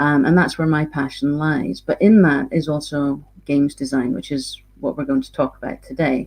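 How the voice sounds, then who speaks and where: This voice carries a Scottish accent at a moderate pace. Its loudness swings widely. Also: woman, very deep, low pitch for a woman, ordinary pitch variation. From Scotland. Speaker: games designer and university lecturer. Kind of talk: lecture.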